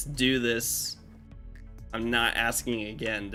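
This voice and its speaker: Clear music plays in the background as a woman uses a put-on character voice. Her pitch is very deep and low, and her pace is fairly slow. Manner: stern, firm, commanding.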